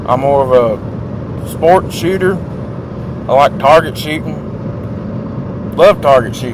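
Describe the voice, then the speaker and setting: Over noticeable background noise, a man with a southern Appalachian accent speaks at a very slow pace with long, frequent pauses. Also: fairly high pitch for a man, ordinary pitch variation. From southwest Virginia. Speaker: vlogger. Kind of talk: casual chat. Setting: in a car. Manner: animated.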